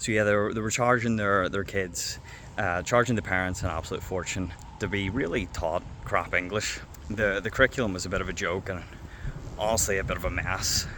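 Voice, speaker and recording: Speaking fairly quickly with a Northern Irish accent, a man uses a fairly low pitch, a bright, sharp tone and fairly even intonation. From Northern Ireland. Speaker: former English teacher. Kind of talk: casual talk to camera. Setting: outdoors.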